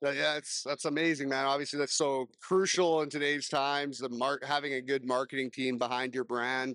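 In a plain, everyday voice, a man talks at a moderate pace with a fairly high pitch and fairly even intonation, the sound dry and close with no echo. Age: 30s. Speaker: podcast host. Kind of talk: casual interview. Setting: business showcase event at a casino.

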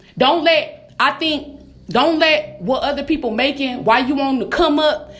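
With an animated tone and high pitch, a woman speaks amid audible room echo. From Detroit, US Midwest. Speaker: motivational podcaster. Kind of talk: motivational monologue.

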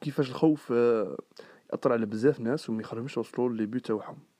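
Pitched at a medium level for a man, his voice shows ordinary variation while he talks at a moderate pace. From Algeria, Sidi Bel Abbès. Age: 20s. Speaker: student and podcast host. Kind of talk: casual monologue. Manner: talkative.

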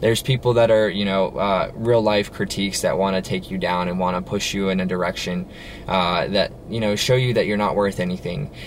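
Fairly quick speech from a man at fairly low pitch, with fairly even intonation and noticeable background noise. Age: 20s. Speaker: business owner and motivational podcaster. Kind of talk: solo motivational talk. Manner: casual, filler-heavy.

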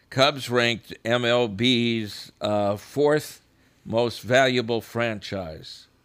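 Very slow delivery from a man, pitched in the middle, with ordinary variation in pitch. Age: 70s. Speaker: local radio host. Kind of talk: casual chat. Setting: radio studio.

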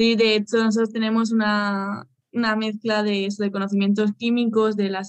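A woman speaks with a Spanish accent at a moderate pace. Her voice is fairly high, with monotone, flat intonation. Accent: Peninsular Spanish. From Spain. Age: 20s. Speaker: pharmaceutical researcher, PhD student. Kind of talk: interview. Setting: video call.

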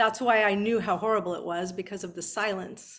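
Fairly even intonation in a Californian accent, on a very clean recording with a silent background. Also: woman. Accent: General American, Californian. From Southern California, Beverly Hills. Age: 50s. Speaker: author. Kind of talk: interview.

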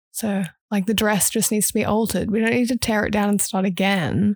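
Somewhat breathy, a woman speaks at a medium pitch with fairly even intonation in a dry, close sound with no echo. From Australia. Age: 20s. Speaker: podcast host. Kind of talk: casual solo monologue. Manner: chatty and rambling, laughs often.

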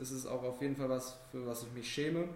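A man of medium pitch at a fairly quick pace, with audible room echo and noticeable background noise. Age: young. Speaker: podcast host, volunteer at a town culture office. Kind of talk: interview.

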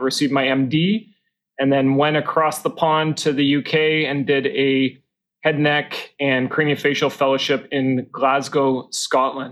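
With a Canadian accent, a man speaks in an unremarkable speaking voice, at a fairly high pitch and a fairly slow pace, with fairly even intonation and very even loudness. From Calgary, Canada. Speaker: oral and maxillofacial surgeon. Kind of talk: casual interview. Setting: conference venue.

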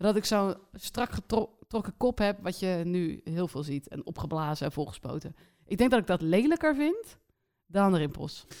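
A woman uses a normal speaking voice with lively intonation. Her pace is moderate. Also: medium pitch for a woman. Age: 30s. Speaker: podcast co-host. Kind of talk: casual chat.

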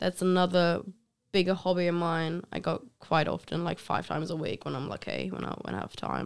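A woman with a German accent speaks at a moderate pace and a fairly low pitch, with ordinary pitch variation, on a very clean recording with a silent background. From Germany. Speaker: podcast guest. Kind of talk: casual interview.

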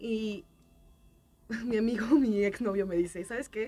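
Noticeable background noise surrounds a woman speaking with a fairly high pitch. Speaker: podcast panelist. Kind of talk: casual chat.

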